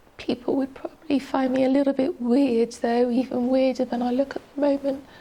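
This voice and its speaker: Noticeable background noise behind a woman with a high pitch. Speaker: yoga teacher with voice disorder. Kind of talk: personal testimony. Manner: halting, voice breaks and stops.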